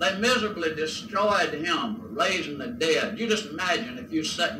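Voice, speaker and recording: A man talks at a moderate pace with very wide pitch swings, and noticeable background noise can be heard. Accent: Southern US. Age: 70s. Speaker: folk artist and preacher. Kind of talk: preaching sermon. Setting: home cassette recording. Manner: fervent, emphatic.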